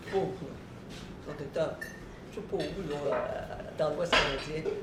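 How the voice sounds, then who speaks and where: A woman speaks at a fairly slow pace in a fairly low pitch. Audible room echo and noticeable background noise surround her voice. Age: 80s+. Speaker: stretching instructor. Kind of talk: talk to an audience. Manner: halting, repeats words.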